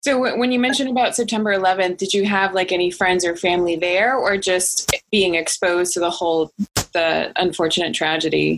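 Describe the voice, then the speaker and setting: Fairly quick speech from a woman with a normal speaking voice, medium pitch, ordinary pitch variation and very even loudness. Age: 30s. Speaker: podcast host. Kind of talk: casual interview.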